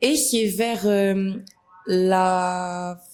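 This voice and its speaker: Background music can be heard. Over it, a woman talks at a medium pitch. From Senegal, Dakar. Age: 20s. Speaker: influencer. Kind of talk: interview.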